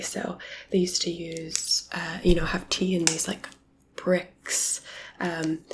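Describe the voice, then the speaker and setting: A relaxed tone at a very slow pace over noticeable background noise. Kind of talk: asmr whispered-soft talk to camera. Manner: soft-spoken, relaxed, friendly.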